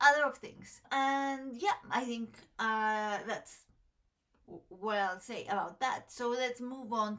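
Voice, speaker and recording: A woman speaks at a fairly slow pace with a Mexican accent. Her pitch is fairly high, with ordinary variation. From Mexico. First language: Spanish. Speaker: tarot content creator. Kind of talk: casual chat to camera. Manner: halting, many fillers.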